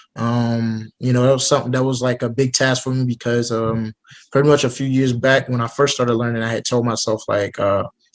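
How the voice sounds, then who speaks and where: A man with an American accent talks at a moderate pace in a plain, everyday voice. His intonation is fairly even, and the background is quiet. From United States. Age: 20s. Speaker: student and polyglot. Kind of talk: interview. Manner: casual.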